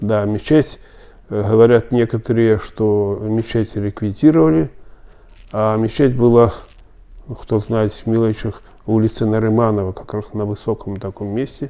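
Fairly low-pitched and dark, mellow in tone, a man talks at a fairly slow pace with fairly even intonation and long, frequent pauses. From Belarus, Smilovichi near Minsk; Belarus. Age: 70s. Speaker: Belarusian Tatar elder interviewee; interviewee. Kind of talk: oral history interview. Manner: halting, many filler sounds. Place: office.

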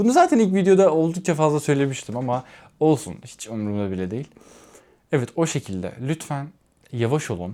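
In a very clean recording with a silent background, the voice has a dark, mellow tone and very wide pitch swings. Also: man. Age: 20s. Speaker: vlogger. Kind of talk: casual vlog monologue. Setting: home, alone.

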